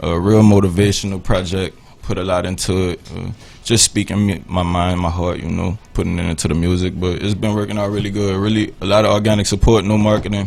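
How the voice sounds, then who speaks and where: The voice comes in a New Orleans accent. The delivery is fairly quick and flat, almost monotone. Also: man, fairly low pitch for a man. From New Orleans, Louisiana. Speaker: musician. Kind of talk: radio interview. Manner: casual.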